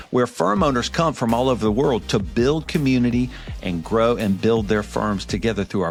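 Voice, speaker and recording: Against music in the background, a man with a medium pitch talks at a fairly quick pace with lively intonation. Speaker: podcast host. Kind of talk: podcast intro.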